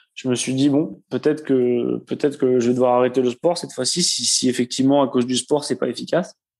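With a slight southwestern French accent, a man speaks at a medium pitch and a moderate pace, his intonation fairly even. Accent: slight southwest French. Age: 20s. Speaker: air force serviceman and runner. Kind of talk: casual interview.

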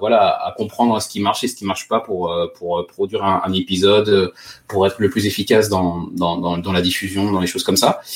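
A man speaks at a fairly quick pace in a fairly low voice, his intonation fairly even. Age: 30s. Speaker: safety engineer and podcaster. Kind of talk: interview. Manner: halting.

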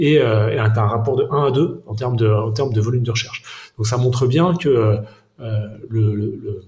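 Dark and mellow in tone and somewhat breathy, a man's medium-pitched voice shows ordinary pitch variation. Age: 30s. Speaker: organic food wholesale cofounder. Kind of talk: interview. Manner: halting, many repetitions and fillers.

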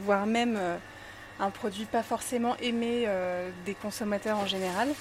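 The pace is very slow, and the intonation stays fairly even. A woman talks in a fairly high pitch. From France, Grenoble (Alps). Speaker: chef. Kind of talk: interview.

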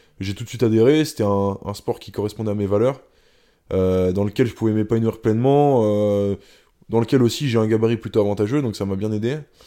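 In a very clean recording with a silent background, a man talks at a fairly quick pace and medium pitch, his tone dark and mellow, his intonation fairly even, broken by long, frequent pauses. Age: 20s. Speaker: former elite kayaker, sports science student. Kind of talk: interview. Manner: hesitant, many fillers and repetitions.

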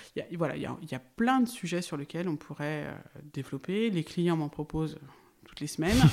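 The intonation here is lively. The speech keeps a moderate pace. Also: woman, very deep, low pitch for a woman. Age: 40s. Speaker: farmer. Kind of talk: interview.

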